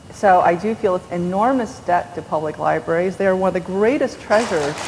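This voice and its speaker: Noticeable background noise behind a woman, her voice medium in pitch and ordinary in its variation, her pace fairly quick. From New York. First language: Korean. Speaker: novelist. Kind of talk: onstage interview. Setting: stage with audience. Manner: animated.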